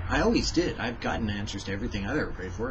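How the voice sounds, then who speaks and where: Background noise is noticeable here. A man does the talking. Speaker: devotional vlogger. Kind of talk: devotional talk. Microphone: webcam.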